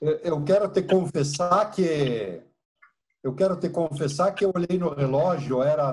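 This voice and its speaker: At a fairly slow pace, a man sounds somewhat breathy, with ordinary pitch variation. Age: 60s. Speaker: engineer and karate student. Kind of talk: Q&A in online class. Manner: halting.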